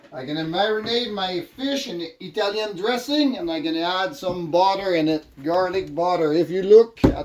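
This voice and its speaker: There is noticeable background noise as a man speaks at a high pitch. His pace is fairly slow and his intonation lively. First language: French. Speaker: vlogger. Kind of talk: casual cooking vlog.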